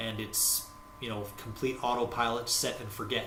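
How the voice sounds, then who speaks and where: A man with an American accent and a medium pitch talks at a fairly quick pace in monotone, flat intonation, with audible room echo and noticeable background noise. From United States. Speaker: forex trading educator. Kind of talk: tutorial. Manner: halting, many fillers.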